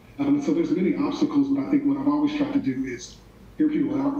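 A man with an American accent, faint background music and audible room echo. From Oklahoma City area, US; Oklahoma. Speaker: college dean; interviewee. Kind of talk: interview.

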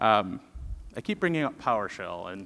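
This man has a bright, sharp tone and speaks at a moderate pace. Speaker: conference presenter. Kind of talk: technical conference talk. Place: stage.

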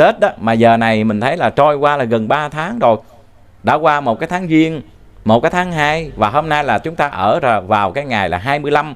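Speaking at a fairly slow pace, a man with a fairly high pitch uses lively intonation. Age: 40s. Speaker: religious teacher. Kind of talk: dharma talk. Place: studio. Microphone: handheld.

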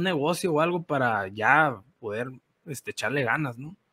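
The recording is very clean, with a silent background. A man speaks at a fairly high pitch in an animated, bright, sharp tone. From Sonora, Mexico. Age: 30s. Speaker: coffee farmer and café entrepreneur. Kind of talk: interview storytelling.

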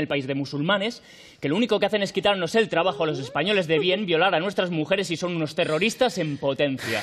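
A man speaks at a very fast pace in a high voice, with ordinary pitch variation over light background noise. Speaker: actor in a scene. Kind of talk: theatrical dialogue. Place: stage. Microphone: headset.

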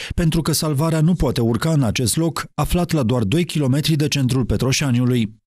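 With a normal speaking voice, a man of fairly high pitch talks at a moderate pace with ordinary pitch variation. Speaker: news reporter. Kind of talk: scripted narration.

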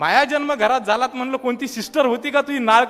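A man's raised, projected voice. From Maharashtra, Buldhana district (Vidarbha). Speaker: student activist. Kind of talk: public speech. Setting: stage with audience. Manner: animated.

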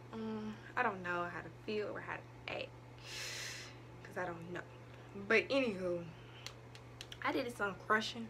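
A woman speaks while noticeable background noise carries on behind her. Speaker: vlogger. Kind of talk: casual vlog chat. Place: home room.

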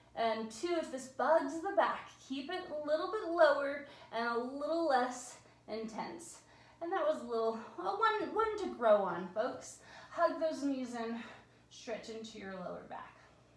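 Audible room echo surrounds a woman's high-pitched voice as she speaks at a fairly slow pace. Her delivery has very wide pitch swings and big swings in loudness. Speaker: fitness instructor. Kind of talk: guided Pilates workout class, giving spoken exercise cues. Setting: home studio, video workout. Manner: calm, encouraging, steady; instructional, with a relaxed, friendly tone. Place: home room. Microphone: camera far.

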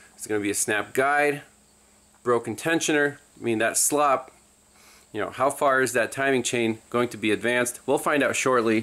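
Speaking at a moderate pace with long, frequent pauses, a man uses a bright, sharp tone and fairly even intonation. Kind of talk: tutorial. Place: garage. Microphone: phone near.

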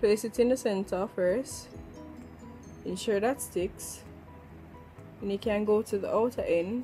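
Faint music plays in the background as a woman with a Jamaican accent talks at a fairly slow pace, leaving long, frequent pauses. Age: 20s. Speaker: beauty vlogger. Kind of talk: makeup tutorial talk to camera. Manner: casual, chatty. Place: home room. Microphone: phone near.

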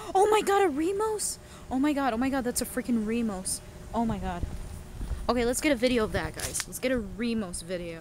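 A woman speaks at a high pitch with very wide swings in it, at a fairly quick pace. The sound is dry with no echo, over light background noise. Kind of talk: casual vlog chat. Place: open country. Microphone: phone near.

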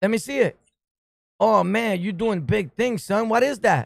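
With a New York accent, a man speaks at a moderate pace in a high pitch, his tone animated and his intonation lively, over a quiet background with a dry sound and no echo. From New York City. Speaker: online streamer; livestream host. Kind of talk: casual chat. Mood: joking, teasing. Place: home room. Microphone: studio mic.

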